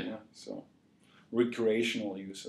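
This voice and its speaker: With an East German accent, a man speaks at a moderate pace. His voice is fairly low with a dark, mellow tone. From East Germany. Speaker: journalism graduate student. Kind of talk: interview answer.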